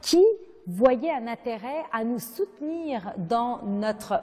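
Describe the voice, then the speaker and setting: Her voice dark and mellow, a woman uses a fairly high pitch with lively intonation. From Lebanon. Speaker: nonprofit founder and president. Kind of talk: interview.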